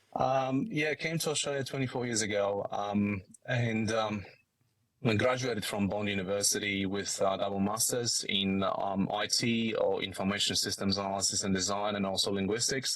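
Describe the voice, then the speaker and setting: A man's fairly low voice in a strong Polish accent, at a moderate pace and with very even loudness. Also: ordinary pitch variation. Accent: thick Polish. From Poland. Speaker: business executive. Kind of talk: podcast interview. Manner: halting, many fillers.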